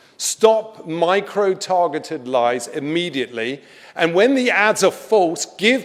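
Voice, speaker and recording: A high-pitched man with a British accent at a fairly slow pace, over noticeable background noise. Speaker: comedian and actor. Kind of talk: formal speech at an organization event. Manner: sincere, blistering, serious.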